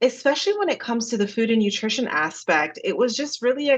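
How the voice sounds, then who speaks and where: Pitch swings very widely throughout. The voice carries an American accent. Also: woman. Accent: slight Jamaican accent over American. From Jamaica. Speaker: dietitian. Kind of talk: podcast interview.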